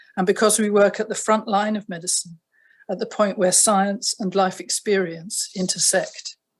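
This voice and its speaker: The speaker has a southern British accent and a somewhat breathy voice. The pace is moderate and the intonation fairly even. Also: woman, medium pitch for a woman. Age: 70s. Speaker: retired family doctor. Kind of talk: prepared statement. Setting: video call. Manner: formal.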